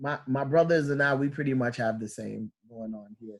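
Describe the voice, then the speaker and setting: An ordinary speaking voice with an American accent keeps a fairly even intonation. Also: man. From New York. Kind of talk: interview.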